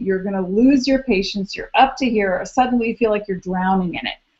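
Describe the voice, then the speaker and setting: This woman has a fairly high pitch and an animated tone. Her pitch varies in an ordinary way. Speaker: astrologer. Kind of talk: live video hangout monologue. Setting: live video stream.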